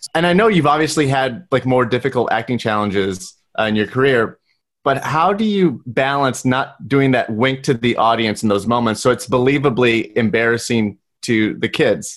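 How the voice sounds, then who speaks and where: This man has a plain, everyday voice, speaking at a medium pitch and a moderate pace with ordinary pitch variation. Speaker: podcast producer and host. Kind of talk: casual chat. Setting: video call.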